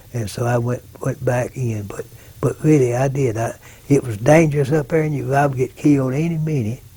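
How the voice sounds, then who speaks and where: In an Arkansas accent, a man talks at a fairly quick pace and medium pitch, his dark, mellow tone somewhat breathy and his intonation fairly even. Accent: Southern US, Arkansas. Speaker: war veteran. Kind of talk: oral history interview. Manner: halting.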